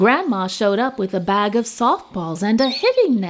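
The plain reading aloud carries lively intonation.

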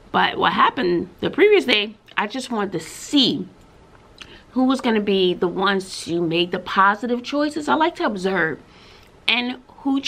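A woman's fairly high voice with very wide pitch swings and long, frequent pauses. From Texas. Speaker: schoolteacher and vlogger. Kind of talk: casual vlog monologue. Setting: classroom, recording to camera. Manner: chatty, laughs often. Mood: frustrated, venting. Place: home room. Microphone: webcam.

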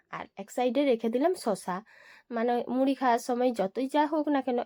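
A dark, mellow tone with ordinary pitch variation comes through dry and close with no echo, in a very clean recording over a silent background. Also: woman. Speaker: family lifestyle vlogger. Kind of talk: vlog narration. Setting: at home and in the garden.

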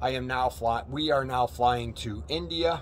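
With vocal fry, a man speaks at a fairly slow pace over light background noise. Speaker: travel vlogger. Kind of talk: casual vlog chat. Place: street. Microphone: phone near.

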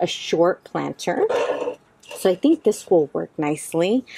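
This woman's voice has a dry sound with no echo. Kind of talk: tutorial. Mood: cheerful, enthusiastic. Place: garden.

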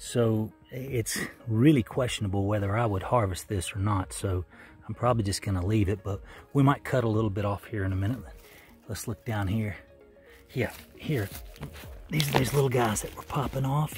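A man speaks at a moderate pace, leaving long, frequent pauses. Clear music plays in the background, and the sound is dry with no echo. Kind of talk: casual vlog chat. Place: forest. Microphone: phone near.

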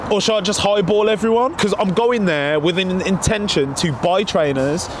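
In a dry recording with no echo but noticeable background noise, a man talks at a moderate pace in a high voice with ordinary pitch variation. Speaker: sneaker vlogger. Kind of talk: casual vlog chat. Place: street.

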